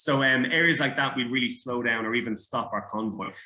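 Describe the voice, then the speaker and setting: A man with an Irish accent speaks at a moderate pace in a bright, sharp tone. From Ireland. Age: 30s. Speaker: former soldier. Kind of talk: interview. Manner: halting.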